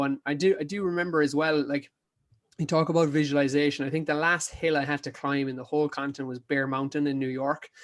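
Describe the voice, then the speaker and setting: A man with an Irish accent, fairly high in pitch and monotone, flat in intonation, at a very fast pace on a very clean recording with a silent background. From Ireland, County Kerry. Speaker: ultra endurance athlete. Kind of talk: casual chat. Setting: podcast interview.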